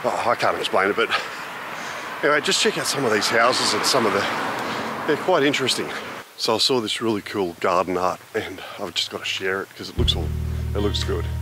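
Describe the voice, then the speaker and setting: The sound is dry with no echo, and noticeable background noise is present. A man speaks at a fairly quick pace. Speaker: motorbike travel vlogger. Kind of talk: casual vlog chat. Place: street. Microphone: phone near.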